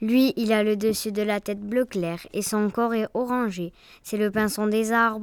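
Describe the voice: Simple, plain reading aloud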